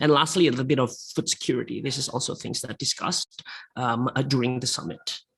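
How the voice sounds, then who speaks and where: Someone speaks at a very fast pace with an Indonesian accent. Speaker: panel speaker on economics. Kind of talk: webinar presentation. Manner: halting, many fillers.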